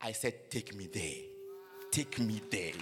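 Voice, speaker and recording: Against noticeable background noise, a man speaks with a Ghanaian accent. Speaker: preacher. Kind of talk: sermon. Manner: animated.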